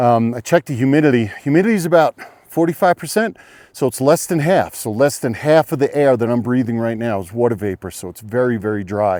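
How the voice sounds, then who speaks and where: A man with a dark, mellow tone and a medium pitch speaks very fast with lively intonation, in a dry, close sound with no echo. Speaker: hiking vlogger. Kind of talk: outdoor vlog tutorial. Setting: outdoors by an alpine lake. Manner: casual, hesitant with fillers.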